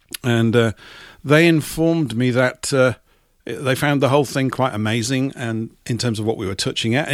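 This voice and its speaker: In a very clean recording with a silent background, a man with an English accent talks at a fairly quick pace, his medium pitch moving with lively intonation. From England. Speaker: radio host. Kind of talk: live radio talk show.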